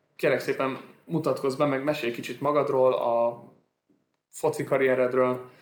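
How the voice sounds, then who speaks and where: A man at a medium pitch with fairly even intonation, fairly slow pace, and long, frequent pauses. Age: 20s. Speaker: sports lawyer, podcast host. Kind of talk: casual interview.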